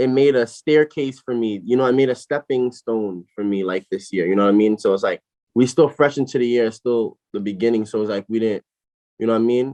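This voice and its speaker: Dark and mellow in tone, a man speaks fairly quickly at medium pitch with ordinary pitch variation and an American accent, in a dry, close sound with no echo. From Brooklyn, New York. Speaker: rapper and label owner. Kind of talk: casual interview.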